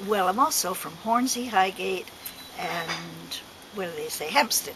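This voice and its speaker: Lively intonation marks this woman's fairly slow speech. Noticeable background noise is present. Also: medium pitch for a woman, big swings in loudness. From London and Kent, England. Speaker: club member. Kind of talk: casual chat.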